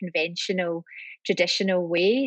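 In a Scottish accent, the speaker moves at a moderate pace with fairly even intonation, captured dry and close with no echo against a quiet background. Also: woman. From Scotland, Glasgow. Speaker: lawyer. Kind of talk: interview. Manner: hesitant, many fillers.

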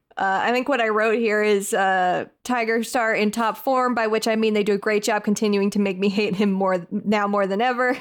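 Against a silent background in a very clean recording, a woman speaks at a moderate pace with a fairly high pitch, monotone, flat intonation, very even loudness and hardly any pauses. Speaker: podcast host. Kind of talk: casual chat.

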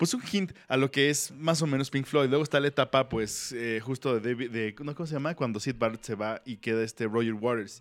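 Speaking with a Mexican accent, this voice has ordinary pitch variation and hardly any pauses. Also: man, medium pitch for a man, moderate pace. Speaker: music podcast host. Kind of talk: casual chat.

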